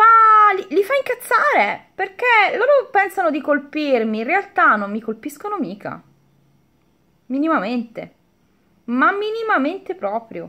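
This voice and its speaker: A woman's extremely high, raised and projected voice with very wide pitch swings and an animated tone, at a fairly slow pace with long, frequent pauses, over a quiet background. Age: 40s. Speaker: beauty YouTuber; vlogger. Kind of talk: casual vlog chat; casual vlog chat, storytime. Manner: halting. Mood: defiant, animated. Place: home room. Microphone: phone near.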